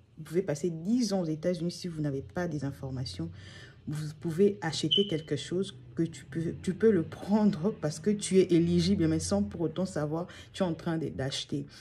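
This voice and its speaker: A woman speaks at a very deep, low pitch with a dark, mellow tone and vocal fry. Her intonation is lively and her pace moderate. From DR Congo. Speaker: channel host. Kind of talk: vlog monologue. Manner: halting.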